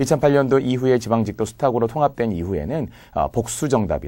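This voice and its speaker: A man speaks at a fairly quick pace and medium pitch, his tone dark and mellow with vocal fry. His pitch swings very widely on a very clean recording with a silent background. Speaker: civil service exam Korean lecturer. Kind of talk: lecture. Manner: clear articulation.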